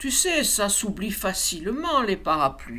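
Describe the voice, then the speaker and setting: A female-sounding voice puts on a character voice, fairly high in pitch and fairly slow in pace. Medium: read story. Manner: mysterious, playful.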